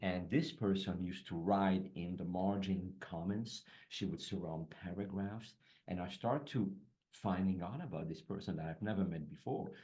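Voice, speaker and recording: A man with a French accent, fairly low in pitch with a dark, mellow tone, ordinary pitch variation and a moderate pace, in audible room echo. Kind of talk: casual chat.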